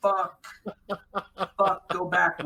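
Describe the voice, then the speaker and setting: A man speaks in a raised, projected voice. His pitch is high and his pace fairly slow. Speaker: podcast guest. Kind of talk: casual chat.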